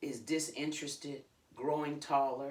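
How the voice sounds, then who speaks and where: A woman with an American accent speaks at a fairly slow pace in a very deep, low voice. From New York. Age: 70s. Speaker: minister. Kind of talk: audiobook reading by author.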